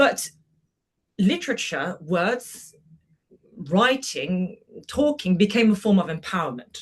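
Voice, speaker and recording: Speaking very slowly in a French accent, the voice is somewhat breathy, with very wide pitch swings and long, frequent pauses. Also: woman, medium pitch for a woman. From France, Brittany. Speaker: journalist and moderator. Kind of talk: podcast interview.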